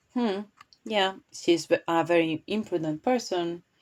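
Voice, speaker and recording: At a fairly slow pace, a woman with a non-native accent speaks in a medium pitch with lively intonation, captured in a very clean recording with a silent background. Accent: non-native English speaker. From Spain. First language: Spanish. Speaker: tarot reader and commentary youtuber. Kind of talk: tarot reading commentary. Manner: halting, with false starts.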